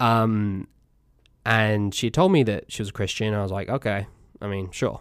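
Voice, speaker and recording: A man with an American accent, a fairly low pitch, fairly even intonation and a moderate pace with long, frequent pauses, on a very clean recording with a silent background. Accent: English, fading slightly from US exposure. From England. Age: 20s. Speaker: podcast host. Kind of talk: casual chat.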